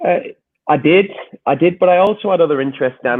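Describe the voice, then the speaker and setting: Speaking with an English accent, a man uses ordinary pitch variation. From northern England, Wigan. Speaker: soccer coach and podcaster. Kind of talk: interview conversation. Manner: halting.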